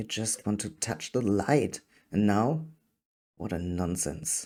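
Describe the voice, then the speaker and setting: A man with a fairly low pitch and a dark, mellow tone talks at a very slow pace. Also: very clean recording, silent background. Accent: non-native. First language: not English. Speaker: fiction writer and reader. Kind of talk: reading aloud.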